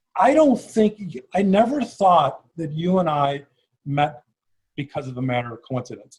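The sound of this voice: A man with a Chicago accent speaks at a moderate pace. His fairly high voice has a slightly husky edge and lively intonation.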